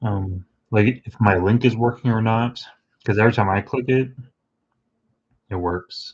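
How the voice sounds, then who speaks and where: The voice is somewhat breathy, with fairly even intonation at a moderate pace. Long, frequent pauses break it up, and the background is quiet. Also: man, medium pitch for a man. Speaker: hobbyist miniature painter streamer. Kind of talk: casual live-stream chat while painting. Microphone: too close to the camera mic.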